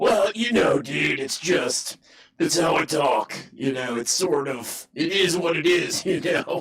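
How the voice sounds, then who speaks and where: Doing a put-on character voice in a Californian accent, a man speaks fairly slowly in a raspy, high pitch with lively intonation. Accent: California. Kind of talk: casual, laid-back.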